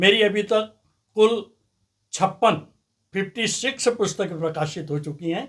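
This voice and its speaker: With ordinary pitch variation, a high-pitched man speaks with long, frequent pauses. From India, Nimar region (Madhya Pradesh). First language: Nimari (speaking Hindi). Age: 70s. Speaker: author. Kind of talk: interview. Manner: formal.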